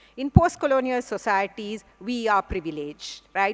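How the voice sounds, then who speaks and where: A woman with a Sri Lankan accent speaks with lively intonation on a very clean recording with a silent background. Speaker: English professor. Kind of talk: conference plenary lecture.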